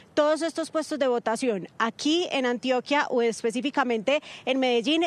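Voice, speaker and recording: A woman's high voice, with ordinary pitch variation, comes through in a dry sound with no echo. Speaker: TV news reporter. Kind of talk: news report stand-up. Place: street. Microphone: handheld.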